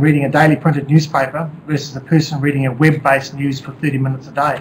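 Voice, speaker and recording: In a New Zealand accent, a man talks very fast in a fairly high voice. His intonation is monotone and flat. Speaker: company executive. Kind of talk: presentation. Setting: webcast.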